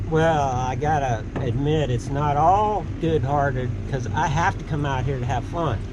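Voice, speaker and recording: Speaking at a fairly slow pace with hardly any pauses, a man with a fairly high pitch and ordinary pitch variation is heard over noticeable background noise and audible room echo. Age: 60s. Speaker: motocross instructor. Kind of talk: casual chat.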